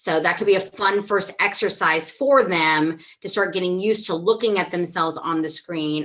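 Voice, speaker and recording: A woman at a moderate pace, fairly low in pitch, with ordinary pitch variation. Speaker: theatre teacher. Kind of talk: online workshop discussion. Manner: loud, expressive.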